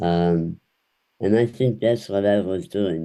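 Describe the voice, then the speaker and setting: A man speaks very slowly in a very deep, low voice with a dark, mellow tone. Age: 80s+. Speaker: humorist and motivational speaker. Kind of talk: podcast interview. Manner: halting.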